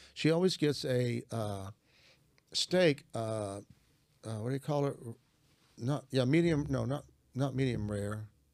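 A man with a Southern US accent speaks fairly slowly, with long, frequent pauses. His pitch is medium, with ordinary variation. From US South, Arkansas. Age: 70s. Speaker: Bible teacher and author. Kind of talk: religious teaching conversation.

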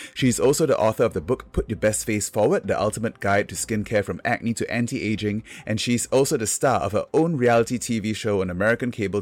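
A man speaks fairly quickly with hardly any pauses. His is an ordinary speaking voice, fairly low in pitch, with ordinary pitch variation. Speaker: podcast host, dermatologist. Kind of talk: interview and podcast hosting.

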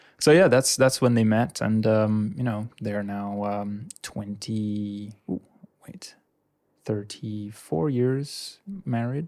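This man talks at a very slow pace in a fairly low pitch, with ordinary pitch variation. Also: big swings in loudness. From Indonesia. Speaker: creative studio owner. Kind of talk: casual chat. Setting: studio. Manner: jokey.

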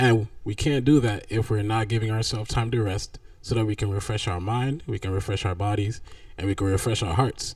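A man's fairly quick, fairly low-pitched speech with ordinary pitch variation and an ordinary speaking voice. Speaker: podcast co-host. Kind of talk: casual chat.

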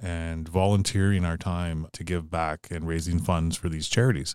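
In a northern Ontario accent, a man talks at a fairly quick pace with a very deep, low pitch and fairly even intonation. The recording is very clean with a silent background and a dry, close sound with no echo. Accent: Canadian (northern Ontario). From Sault Ste. Marie, Ontario, Canada. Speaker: entrepreneur and public speaker. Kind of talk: interview.

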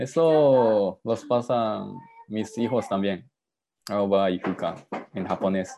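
A man with a Japanese accent, fairly low-pitched, with a dark, mellow tone, ordinary pitch variation, a very slow pace and long, frequent pauses. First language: Japanese (speaking Spanish). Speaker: father. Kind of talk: video call interview. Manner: halting.

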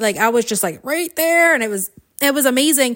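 Animated in tone, a woman speaks at a high pitch with very wide pitch swings. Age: 40s. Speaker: podcast host and coach. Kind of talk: solo motivational monologue.

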